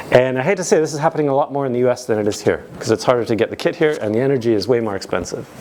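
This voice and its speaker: Over noticeable background noise, a man with a medium pitch rushes along at a very fast pace with hardly any pauses and lively intonation. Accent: American. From United States. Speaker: tech conference speaker. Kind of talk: conference talk. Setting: stage with audience. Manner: animated.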